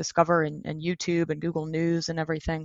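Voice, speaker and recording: This woman talks at a moderate pace with fairly low pitch in an ordinary speaking voice. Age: 30s. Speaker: SEO agency director. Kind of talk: interview.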